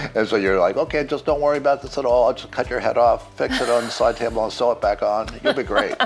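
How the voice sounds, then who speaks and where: A man talking at a very fast pace with hardly any pauses, noticeable background noise behind him. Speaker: plastic surgeon. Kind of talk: casual interview.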